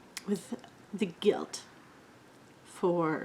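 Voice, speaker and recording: A woman is speaking here. She has a Canadian accent. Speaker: beauty vlogger. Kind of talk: casual chat.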